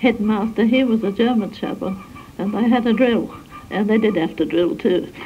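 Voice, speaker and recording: A woman with an Australian accent speaks at a fairly slow pace with ordinary pitch variation over light background noise. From South Australia. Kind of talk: interview answer. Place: home room. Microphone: old recording.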